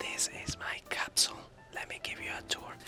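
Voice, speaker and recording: Whispered words come at a moderate pace as noticeable background noise sounds behind them. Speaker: travel vlogger. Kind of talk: travel vlog narration. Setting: shared capsule hostel room. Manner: whispering.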